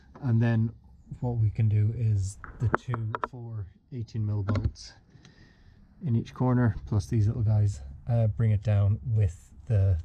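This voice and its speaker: Fairly slow delivery with ordinary pitch variation and noticeable background noise. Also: man. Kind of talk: tutorial. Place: garage. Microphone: phone near.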